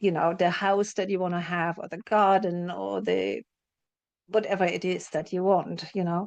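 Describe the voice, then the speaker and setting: A woman's fairly low voice, flat and monotone, at a moderate pace against a quiet background. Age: 60s. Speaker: spiritual teacher and psychotherapist. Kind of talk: interview.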